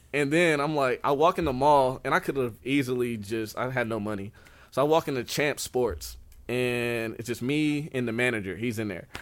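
Medium in pitch, a man speaks in a plain, everyday voice at a moderate pace with ordinary pitch variation. The recording is very clean, with a silent background. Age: 20s. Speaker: author and aspiring motivational speaker. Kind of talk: interview.

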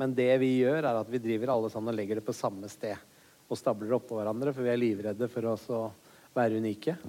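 The voice moves at a very fast pace, dark and mellow in tone, with fairly even intonation. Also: man, medium pitch for a man. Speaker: comedian. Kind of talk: live podcast interview.

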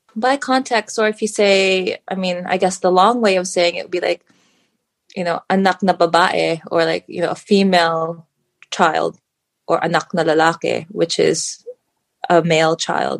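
A woman speaks in a normal speaking voice at a moderate pace, with medium pitch and ordinary pitch variation, in a dry, close sound with no echo. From Philippines and US, moved around. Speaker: guest, mother and coach. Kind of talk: casual interview chat.

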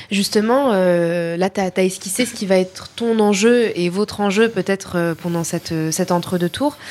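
A woman speaks fairly slowly at a medium pitch, with ordinary variation and hardly any pauses. Noticeable background noise runs underneath. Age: 20s. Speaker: podcast host. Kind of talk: interview.

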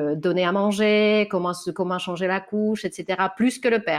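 A woman speaks against a quiet background. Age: 30s. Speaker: author on anti-sexist parenting. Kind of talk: interview. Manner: hesitant, many fillers.

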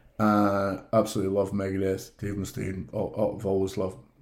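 A man speaks with a Scottish accent. His pitch is fairly low. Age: 40s. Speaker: theatre flyman and guest. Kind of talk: casual interview, storytelling.

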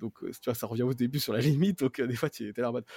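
Vocal fry at a very fast pace with ordinary pitch variation, in a dry, close, echo-free and very clean recording over a silent background. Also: man. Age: 30s. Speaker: mobile app developer. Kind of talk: casual chat.

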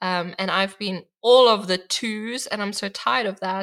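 Her South African accent carries a bright, sharp tone as a woman speaks at a moderate pace and medium pitch. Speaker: artist and art journaling teacher. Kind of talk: podcast interview.

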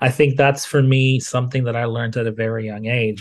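A man's somewhat breathy voice in a monotone, flat delivery. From Tanzania. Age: 30s. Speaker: digital marketing strategist. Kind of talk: casual interview.

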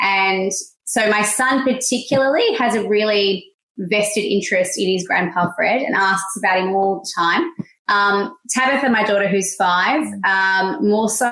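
In an Australian accent, a woman speaks at a fairly slow pace with ordinary pitch variation. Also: medium pitch for a woman. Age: 30s. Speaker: stay-at-home mother. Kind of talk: interview.

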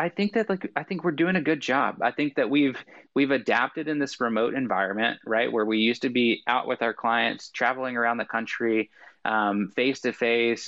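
A normal speaking voice at a fairly quick pace. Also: man. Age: 30s. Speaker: sales executive and social selling coach. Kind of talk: interview.

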